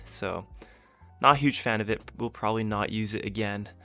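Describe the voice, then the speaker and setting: The man's voice sits fairly low. Music is playing behind him. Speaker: fitness YouTuber, powerlifter. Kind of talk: casual workout commentary voice-over. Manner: casual, joking.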